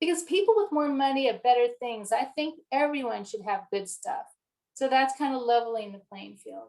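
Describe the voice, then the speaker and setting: A woman speaks at a high pitch with very wide pitch swings. Her loudness rises and falls in big swings. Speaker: developmental psychology researcher. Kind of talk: lecture. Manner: fast.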